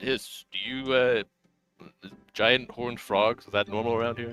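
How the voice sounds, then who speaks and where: Using a put-on character voice, a man talks at a moderate pace and medium pitch with monotone, flat intonation while faint music plays in the background. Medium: actual play.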